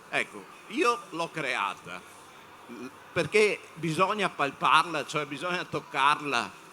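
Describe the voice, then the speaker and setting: A fairly high-pitched man speaks at a very slow pace with lively intonation, big swings in loudness and long, frequent pauses. Noticeable background noise runs behind him. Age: 60s. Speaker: panel speaker on media. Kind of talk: panel talk to students. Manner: halting, many fillers.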